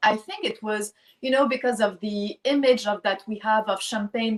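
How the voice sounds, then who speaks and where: A woman speaks with a French accent. Her pitch is fairly high and her intonation fairly even. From France, Lyon. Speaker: champagne brand founder. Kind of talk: interview. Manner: halting.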